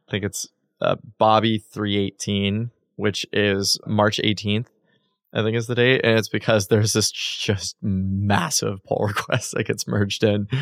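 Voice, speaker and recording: A man uses an ordinary speaking voice at a fairly low pitch and a fairly slow pace. The sound is dry and close with no echo. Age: 30s. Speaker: tech startup founder and CEO. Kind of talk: casual interview conversation.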